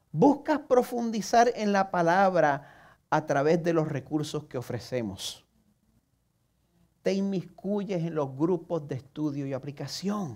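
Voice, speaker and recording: A man with a Puerto Rican accent speaks at a very slow pace. His high voice moves in very wide pitch swings. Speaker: pastor. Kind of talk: sermon. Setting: church service broadcast online.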